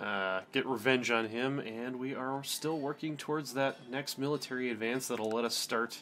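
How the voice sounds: A natural reading voice carries the whole clip.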